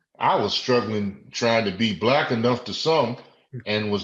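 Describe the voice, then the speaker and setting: At a fairly slow pace and medium pitch, a man speaks with an American accent over noticeable background noise. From Washington DC. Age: 60s. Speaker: retired law enforcement officer. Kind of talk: interview.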